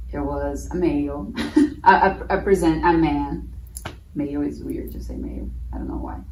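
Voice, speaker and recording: Amid noticeable background noise and audible room echo, a woman talks at a moderate pace with long, frequent pauses and big swings in loudness. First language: Portuguese. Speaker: former au pair, festival guest. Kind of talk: casual conversation.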